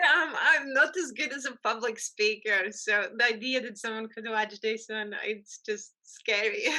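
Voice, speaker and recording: Speaking fairly slowly with hardly any pauses, a woman with a strong Latvian accent uses a fairly high pitch and ordinary pitch variation. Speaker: photographer. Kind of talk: interview conversation. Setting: podcast recording.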